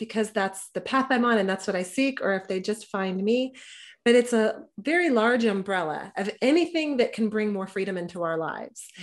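In a plain, everyday voice, a woman with fairly high pitch and ordinary pitch variation speaks at a fairly slow pace over a quiet background. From Texas. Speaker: podcaster and libertarian activist. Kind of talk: casual interview.

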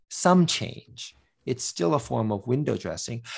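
A man with an American accent speaks at a fairly slow pace in an ordinary speaking voice, his intonation lively against a quiet background. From US. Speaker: professor. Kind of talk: casual chat.

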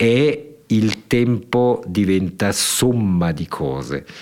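A man in a very clean recording with a silent background. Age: 60s. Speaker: public broadcaster director. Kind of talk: interview.

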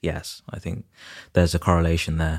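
A man with a British accent speaks in a very deep, low pitch. The recording is very clean, with a silent background and a dry, close sound with no echo. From UK, Nigerian heritage, moved before age two. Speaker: property developer and architect. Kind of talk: interview.

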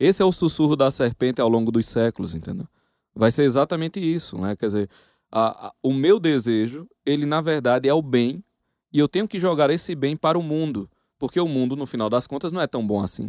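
A man with a plain, everyday voice and fairly high pitch talks at a fairly quick pace with lively intonation, in a dry, close sound with no echo and a quiet background. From Northeast Brazil, Paraíba. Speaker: professor. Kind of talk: casual chat.

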